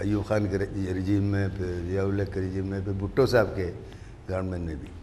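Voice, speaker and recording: Over audible room echo, a man speaks at a moderate pace in a fairly low pitch, with a dark, mellow tone and monotone, flat intonation. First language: not Urdu (speaking Hindi). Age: 80s+. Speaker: political activist. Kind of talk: panel discussion. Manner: halting.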